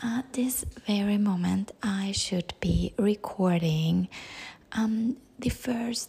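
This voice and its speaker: A woman speaks at a medium pitch with ordinary pitch variation. Her tone is dark and mellow, and somewhat breathy. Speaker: podcast host. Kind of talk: audio diary. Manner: halting, many fillers.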